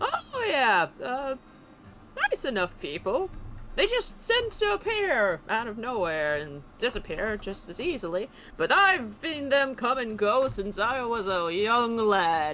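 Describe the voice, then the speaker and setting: Over clear background noise, a put-on character voice speaks fairly slowly at a fairly high pitch. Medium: actual play. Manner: folksy, unhurried.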